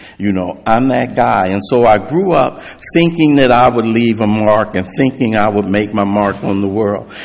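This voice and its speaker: With noticeable noise behind him, a man speaks at a moderate pace in a fairly low voice with ordinary pitch variation. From US West Coast, South Central Los Angeles. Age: 60s. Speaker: recovery speaker. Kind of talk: testimony.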